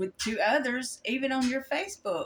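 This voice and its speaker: A woman speaks in a Kentucky accent. There is noticeable background noise. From Kentucky, US. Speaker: Bible study YouTuber. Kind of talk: Bible study talk. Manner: halting, with many fillers.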